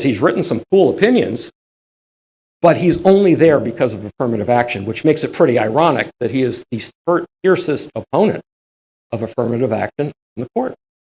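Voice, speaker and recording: Fairly high-pitched and somewhat breathy, a man speaks at a fairly quick pace with very wide pitch swings and long, frequent pauses. The sound is dry and close, with no echo. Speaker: history lecturer. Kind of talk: lecture. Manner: animated.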